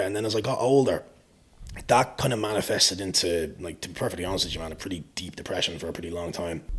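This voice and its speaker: Somewhat breathy, a man races along at a very fast pace with lively intonation. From Ireland. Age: 20s. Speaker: fitness coach. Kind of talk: podcast interview.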